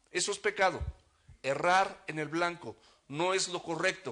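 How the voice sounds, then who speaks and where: A man's high, bright, sharp voice at a fairly slow pace, with fairly even intonation over a quiet background. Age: 60s. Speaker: pastor. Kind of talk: sermon.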